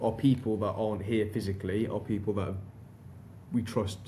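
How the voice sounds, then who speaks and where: A man's fairly low, dark, mellow voice, somewhat breathy and monotone, with flat intonation and audible room echo. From northern England, Darlington. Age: 40s. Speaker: recruitment company director. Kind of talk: podcast interview. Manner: repetitive false starts.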